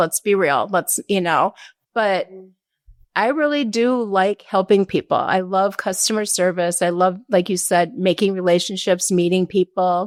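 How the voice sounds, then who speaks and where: A woman uses a normal speaking voice at a moderate pace, recorded dry and close with no echo. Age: 60s. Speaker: cabinet company representative. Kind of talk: casual chat.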